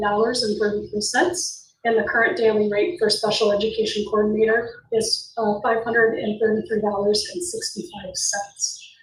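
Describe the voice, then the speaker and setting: A woman's fairly high voice at a moderate pace with ordinary pitch variation, plus noticeable background noise and audible room echo. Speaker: school district administrator. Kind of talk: board meeting report. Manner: halting.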